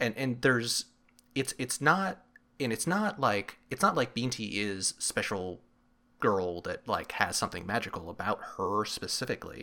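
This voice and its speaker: Over a very clean recording and silent background, a man talks at a moderate pace with a medium pitch, a bright, sharp tone and very wide pitch swings. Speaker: podcast co-host. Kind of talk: casual book discussion podcast.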